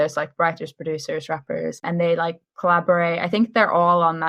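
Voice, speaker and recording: An unremarkable speaking voice from a woman, fairly low in pitch with fairly even intonation. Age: 20s. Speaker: podcast co-host. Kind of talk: casual chat.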